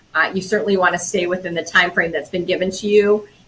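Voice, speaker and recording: There is noticeable noise in the background. A woman's voice comes through it at a medium pitch. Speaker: communication trainer. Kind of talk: webinar presentation.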